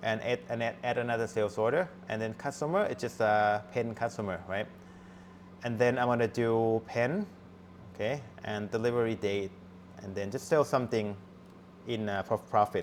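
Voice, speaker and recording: Moderately paced, a man talks at a medium pitch with ordinary pitch variation. Long pauses come often. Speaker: university lecturer. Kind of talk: lecture. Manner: halting.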